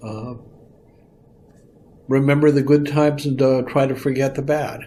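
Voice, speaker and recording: A man's fairly high voice at a moderate pace, flat and monotone, with audible room echo. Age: 70s. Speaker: retired lawyer, elder. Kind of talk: interview reflection. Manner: halting, many fillers.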